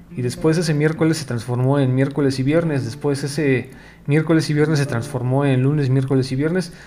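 A man speaks fairly high and fairly quickly, with a dark, mellow tone. His intonation is fairly even, and the room echo is audible. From Mexico. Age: 40s. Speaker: podcast host, journalist and editor. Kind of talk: casual solo monologue.

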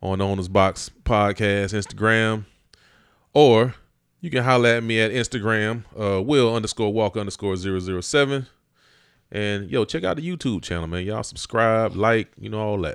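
In a very clean recording with a silent background, a man speaks at a moderate pace in a fairly low voice with ordinary pitch variation. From Augusta, Georgia. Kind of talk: casual chat.

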